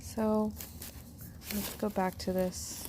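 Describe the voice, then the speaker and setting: A soft-spoken woman speaks at a very slow pace. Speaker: ASMR youtuber. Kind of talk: ASMR unboxing. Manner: soft-spoken, kept quiet; hesitant, many fillers.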